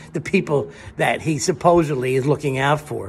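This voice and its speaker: A man talks with a fairly high pitch and a somewhat breathy voice. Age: old. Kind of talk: political commentary to camera.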